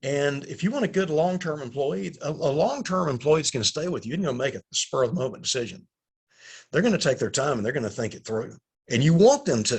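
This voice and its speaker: Over a quiet background, a man with a fairly high, somewhat breathy voice talks very fast with lively intonation. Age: 60s. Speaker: company CEO and recruiting consultant. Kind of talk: webinar presentation. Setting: online webinar.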